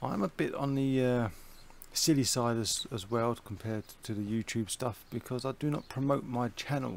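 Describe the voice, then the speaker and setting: A man with a British accent speaks at a medium pitch and moderate pace with ordinary pitch variation. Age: 40s. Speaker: gaming youtuber. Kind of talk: casual gameplay commentary. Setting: home recording with fan running.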